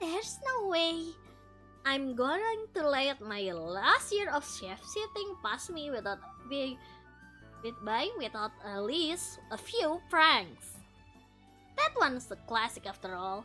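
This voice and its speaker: A woman speaks in a put-on character voice, high-pitched, at a fairly slow pace. Her pitch swings very widely, with clear music in the background. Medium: virtual streamer. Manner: playful, teasing.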